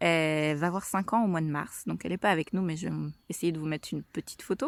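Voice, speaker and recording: Recorded dry and close with no echo, in a very clean recording with a silent background, a woman speaks at a fairly low pitch. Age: 30s. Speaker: mother vlogger. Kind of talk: casual vlog monologue. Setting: outdoors on a walk. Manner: hesitant, many fillers.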